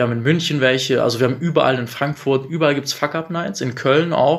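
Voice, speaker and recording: A man talks fairly quickly at a medium pitch. He has a normal speaking voice. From Bielefeld, Germany. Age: 30s. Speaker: entrepreneur. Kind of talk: casual interview. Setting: coworking space.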